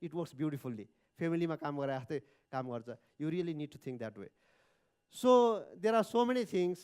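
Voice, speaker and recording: In a very clean recording with a silent background, the speaker has a Nepali accent, very wide pitch swings, and long, frequent pauses. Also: man, fairly high pitch for a man, moderate pace. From Nepal, Dhading. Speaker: entrepreneur. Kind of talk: speech. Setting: stage with audience. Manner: halting.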